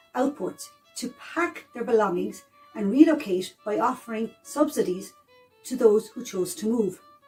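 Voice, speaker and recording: Over music in the background, a woman with a fairly high voice talks at a moderate pace, her intonation lively and her loudness swinging widely. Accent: Irish. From South East of Ireland. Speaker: historian. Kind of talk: educational history narration.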